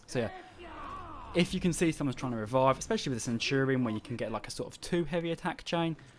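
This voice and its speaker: Here a man speaks with an English accent. His pitch sits fairly high. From England. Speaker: gamer. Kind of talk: gameplay commentary. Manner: casual.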